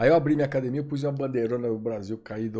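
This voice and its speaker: A man speaks in an unremarkable speaking voice. His medium pitch shows ordinary pitch variation. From Brazil. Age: 50s. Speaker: former MMA referee and jiu-jitsu instructor. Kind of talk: podcast interview.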